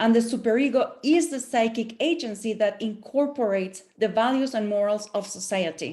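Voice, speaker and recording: A woman with a non-native accent speaks in a dark, mellow tone, somewhat breathy, with hardly any pauses. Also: fairly high pitch for a woman, ordinary pitch variation, moderate pace. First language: not English. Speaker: professor. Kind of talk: panel presentation. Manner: halting.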